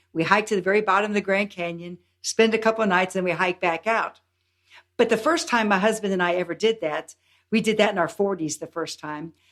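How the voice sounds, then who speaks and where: At a fairly quick pace, the speaker uses a normal speaking voice with ordinary pitch variation. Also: woman, medium pitch for a woman. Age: 60s. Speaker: health and longevity coach. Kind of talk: podcast interview.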